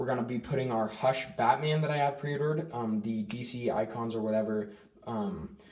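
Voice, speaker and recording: Noticeable background noise accompanies a man who speaks fairly quickly with ordinary pitch variation. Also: medium pitch for a man. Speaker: action figure collector YouTuber. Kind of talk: casual collection tour. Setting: home room / closet. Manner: fast. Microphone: filming on iPad, poor quality.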